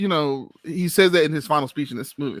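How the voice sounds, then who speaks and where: The speaker is loud and keeps a moderate pace. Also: man. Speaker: podcast co-host. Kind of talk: casual chat. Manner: animated.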